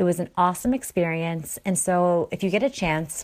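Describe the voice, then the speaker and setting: The delivery is animated in tone at a moderate pace. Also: woman. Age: 30s. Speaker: podcast host, mom blogger. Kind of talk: solo podcast monologue.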